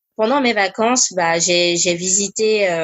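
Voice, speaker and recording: This woman speaks at a fairly slow pace. The rise and fall of her pitch is ordinary. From diplomat family, grew up in Korea, Congo, Cameroon; Ivorian roots. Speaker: charity founder and finance employee. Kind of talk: interview. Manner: hesitant with many fillers.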